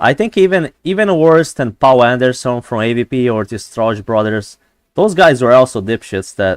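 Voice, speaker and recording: A man with a non-native accent and lively intonation at a moderate pace, in a dry, close sound with no echo. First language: not English. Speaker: gaming streamer. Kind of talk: live gameplay stream chat. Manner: halting, many fillers and repeats; animated.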